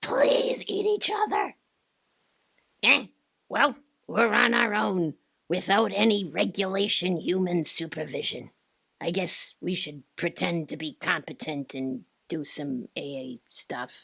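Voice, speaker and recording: Putting on a character voice, a woman speaks raspily and fairly slowly at a fairly low pitch, her pitch swinging very widely between long, frequent pauses. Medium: audio drama. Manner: sarcastic, deadpan.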